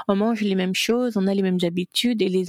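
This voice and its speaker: Fairly quick and medium-pitched, a woman talks in an unremarkable speaking voice with fairly even intonation and a dry, close sound with no echo. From Gabon. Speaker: content creator and business coach. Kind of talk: interview.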